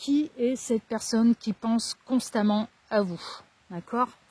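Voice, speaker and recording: A woman with a fairly high pitch and a dark, mellow, somewhat breathy tone is heard in a very clean, dry, close recording with no echo and a silent background. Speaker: tarot card reader. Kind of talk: tarot reading. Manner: casual.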